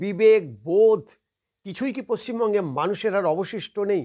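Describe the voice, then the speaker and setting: Against a quiet background, a man's high voice carries a dark, mellow tone and ordinary pitch variation. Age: 60s. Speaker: political commentator. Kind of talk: political commentary monologue.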